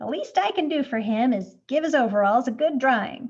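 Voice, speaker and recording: A woman puts on a character voice. Her pitch is high. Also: moderate pace. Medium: read story. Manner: warm, enthusiastic.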